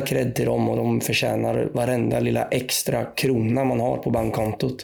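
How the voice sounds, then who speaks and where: A man speaks at a fairly slow pace. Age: 20s. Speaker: podcast panelist, supporter. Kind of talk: casual chat.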